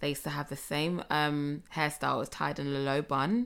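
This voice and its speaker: A woman's very deep, low voice in a London accent, fairly quick, with ordinary pitch variation. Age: 30s. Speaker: podcast co-host. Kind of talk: casual chat.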